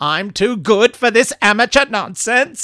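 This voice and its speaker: This is a put-on character voice from a man, pitched high and shrill. He talks at a moderate pace. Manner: screeching, indignant.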